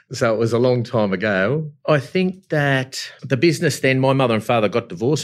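Over a very clean, silent background, a man with an Australian accent speaks at a fairly quick pace with lively intonation. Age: 50s. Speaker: company chief executive. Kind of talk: interview.

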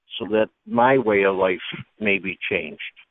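A man with an unremarkable speaking voice, fairly low in pitch, at a moderate pace. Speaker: caller. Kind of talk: phone-in call. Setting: phone call. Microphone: cell phone.

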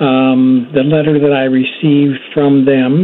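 The speech moves at a very slow pace with fairly even intonation. Noticeable background noise can be heard. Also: man. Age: 70s. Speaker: caller. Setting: phone call.

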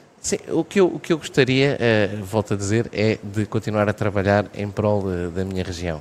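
This man's voice sits fairly low, moving at a moderate pace with ordinary pitch variation. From Portugal, Vagos (Aveiro region). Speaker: mayor and politician. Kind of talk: radio interview. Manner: halting.

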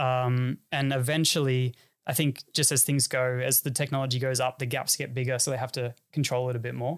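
On a very clean recording with a silent background, a man with an Australian accent talks at a fairly quick pace, medium pitch and very even loudness, his intonation monotone and flat. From Sydney northern beaches, Australia. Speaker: racing driver. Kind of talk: casual interview chat.

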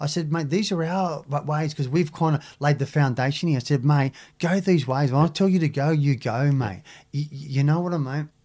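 With a strong Australian accent, a man talks at a fairly quick pace in a fairly high pitch, his dark, mellow tone somewhat breathy and his pitch variation ordinary, on a very clean recording with a silent background. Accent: broad Australian. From Sydney, Australia (Maroubra). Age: 50s. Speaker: former surfer and ex-prisoner, youth mentor. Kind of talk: casual interview chat. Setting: studio.

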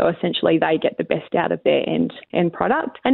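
Moving at a fairly quick pace, a woman speaks in an Australian accent. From Western Australia, Wheatbelt (York). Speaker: grain industry executive. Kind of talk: radio interview.

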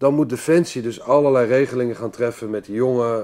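Fairly quick pace from a man. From Amsterdam, Netherlands. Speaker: retired commando captain, entrepreneur. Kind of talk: interview, life story.

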